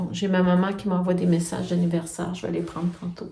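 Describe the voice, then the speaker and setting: A woman speaks at a medium pitch with a dark, mellow tone and a somewhat breathy quality. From Quebec, Quebec City. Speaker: knitting and sewing vlogger. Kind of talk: casual vlog talk. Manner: hesitant, many fillers.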